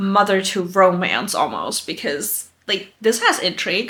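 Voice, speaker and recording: A woman speaks with a German accent at a medium pitch. Her pace is fairly slow. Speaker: booktuber. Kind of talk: casual vlog chat. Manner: casual, filler-heavy.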